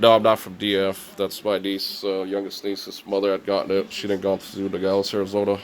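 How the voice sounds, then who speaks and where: A man with an American accent speaks at a fairly low pitch in a monotone, flat intonation, with hardly any pauses. Noticeable background noise runs underneath. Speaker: video game collector vlogger. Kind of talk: casual vlog. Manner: halting.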